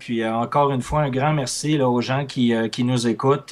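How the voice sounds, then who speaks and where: In a Quebec accent, a man speaks at a medium pitch and a fairly quick pace, his intonation fairly even. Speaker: trader and trading instructor. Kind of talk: interview.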